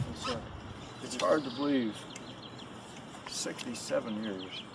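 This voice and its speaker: A man with a medium-pitched voice talks at a fairly slow pace over noticeable background noise, with audible room echo. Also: ordinary pitch variation. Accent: American. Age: 80s+. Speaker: war veteran. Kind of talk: testimony. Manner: halting.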